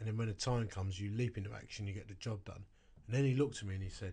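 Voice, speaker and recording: A man's fairly low, somewhat breathy voice, dark and mellow in tone, flat and monotone, in a quiet background. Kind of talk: casual chat.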